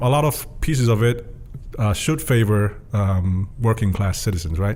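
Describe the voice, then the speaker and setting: A man with a fairly low pitch, a moderate pace and very even loudness over noticeable background noise. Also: ordinary pitch variation. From Tonga. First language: Tongan (bilingual with English). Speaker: student leadership program manager. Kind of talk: podcast interview. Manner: hesitant with fillers and restarts.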